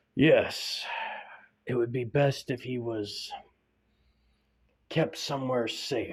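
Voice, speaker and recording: A man puts on a raspy character voice at medium pitch, speaking at a very slow pace with long, frequent pauses. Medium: read story. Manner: grave, deliberate.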